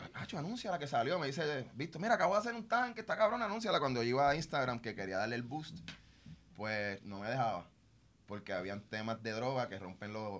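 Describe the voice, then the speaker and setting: A man with a Puerto Rican accent, medium pitch, very wide pitch swings and a fairly quick pace. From Puerto Rico (Mayagüez / San Lorenzo). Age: 40s. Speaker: chef. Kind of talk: casual chat. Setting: studio.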